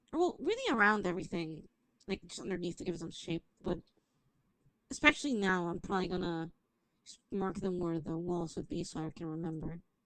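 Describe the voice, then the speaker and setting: A woman with fairly low pitch and ordinary pitch variation talks at a fairly quick pace, with big swings in loudness. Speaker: streamer. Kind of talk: gameplay livestream commentary. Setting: livestream.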